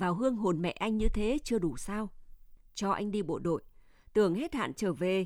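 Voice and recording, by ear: A passage is read aloud in a natural voice.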